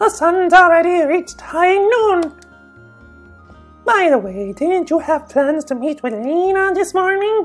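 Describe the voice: Over faint music in the background, a woman uses a put-on character voice at an extremely high pitch. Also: fairly slow pace. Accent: Irish.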